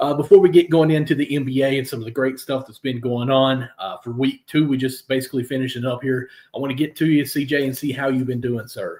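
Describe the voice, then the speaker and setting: In a Kentucky accent, a man speaks very fast with hardly any pauses, fairly even intonation, a medium pitch and big swings in loudness. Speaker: sports podcast host. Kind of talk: casual chat. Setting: live stream.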